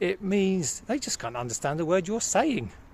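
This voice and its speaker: The speaker talks at a very fast pace with lively intonation. The accent is British. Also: man. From United Kingdom. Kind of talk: casual talk to camera.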